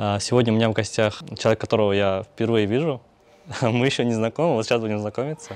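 A man talks fast at a fairly low pitch with fairly even intonation. His tone is slightly mellow.

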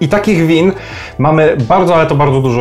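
A man talks while faint music can be heard behind him. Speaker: wine vlogger. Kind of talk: casual explainer vlog. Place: home room. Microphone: phone near.

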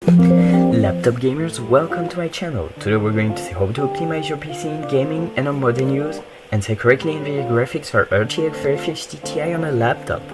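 Against loud background music, the speaker goes at a fairly quick pace with hardly any pauses, in a French accent. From France. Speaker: gaming tech tutorial creator. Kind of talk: screen-recorded tech tutorial.

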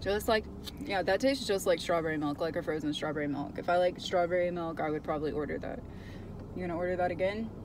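A fairly low-pitched woman talks at a very fast pace with ordinary pitch variation. The sound is dry with no echo, though background noise is noticeable. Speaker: vlogger. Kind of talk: casual vlog chat. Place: car. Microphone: phone near.

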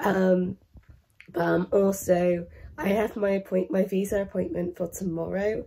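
Very slowly, a woman with an English accent speaks at a medium pitch with fairly even intonation. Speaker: vlogger. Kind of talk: casual vlog monologue.

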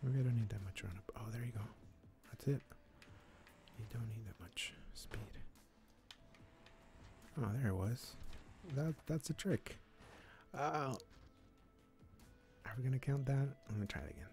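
Somewhat breathy and at a medium pitch, a man speaks at a moderate pace with lively intonation and long, frequent pauses. The sound is dry with no echo, over light background noise. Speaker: gaming streamer. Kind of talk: casual gaming commentary.

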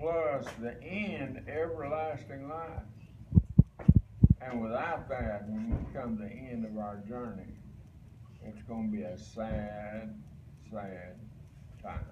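At a very slow pace with long, frequent pauses, the voice shows ordinary pitch variation over noticeable background noise. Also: man. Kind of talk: sermon. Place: home room. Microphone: camera far.

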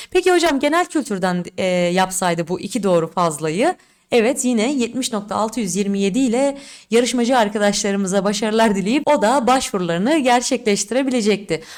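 In a very clean recording with a silent background, a woman with a fairly high voice speaks at a moderate pace, her intonation lively and her tone animated. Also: very even loudness. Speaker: exam prep teacher. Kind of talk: tutorial.

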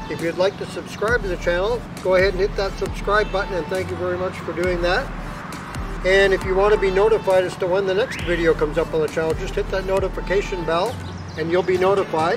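A man's high-pitched voice at a very fast pace with fairly even intonation, dry sound with no echo and clear music in the background. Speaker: e-bike reviewer. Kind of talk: vlog outro chat. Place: street.

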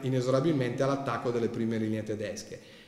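Audible room echo is present here. It comes off a man's voice. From Milan, Italy. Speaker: historian and author; guest. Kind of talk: lecture with slides. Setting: library hall with audience. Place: hall. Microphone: podium.

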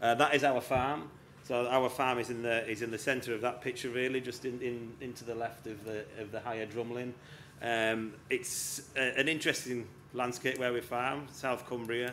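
Over light background noise, a man talks at a moderate pace in a flat, monotone intonation. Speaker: session host. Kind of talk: talk to a live audience. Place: tent.

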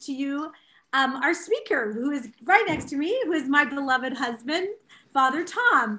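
Her voice raised and projected, a woman speaks at a moderate pace in a bright, sharp tone with lively intonation. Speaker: speaker. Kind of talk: introduction with personal anecdote. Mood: cheerful, laughing. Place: home room. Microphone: webcam.

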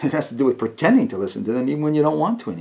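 Vocal fry paired with very wide pitch swings. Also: man. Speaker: actor performing a monologue. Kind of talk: dramatic monologue. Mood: earnest, pleading, emotional. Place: home room.

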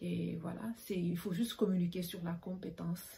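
A woman speaks at a moderate pace with a dark, mellow tone and vocal fry. Her intonation is fairly even, over light background noise. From Senegal. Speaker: bassist. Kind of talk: panel discussion. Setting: video call. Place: home room. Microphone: webcam.

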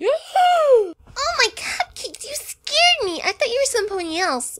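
A female-sounding put-on character voice pitched extremely high comes across upbeat and bubbly. It moves at a moderate pace. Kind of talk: fan audio drama. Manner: upbeat, bubbly.

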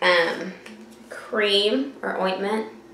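The speaker is a woman. Her voice carries an audible room echo along with light background noise. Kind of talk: casual vlog tutorial. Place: home room. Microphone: webcam.

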